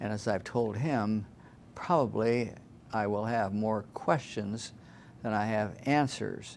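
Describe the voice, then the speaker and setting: With an American accent, a man speaks very slowly at a fairly low pitch. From Iowa, US Midwest. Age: 80s+. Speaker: retired judge. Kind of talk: interview. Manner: halting.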